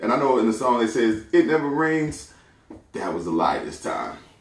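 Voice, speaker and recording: Lively intonation at a fairly quick pace, with audible room echo. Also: man. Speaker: podcast host. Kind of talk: solo commentary podcast. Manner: casual, conversational.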